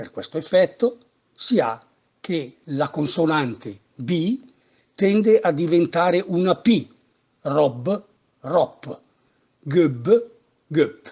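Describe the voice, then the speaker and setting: Speaking very slowly with long, frequent pauses, a man uses a high-pitched voice and lively intonation. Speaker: dialect teacher. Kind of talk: language lesson narration.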